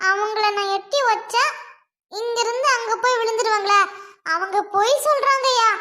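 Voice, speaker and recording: A female-sounding cartoonish character voice at a fairly slow pace. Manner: loud, combative.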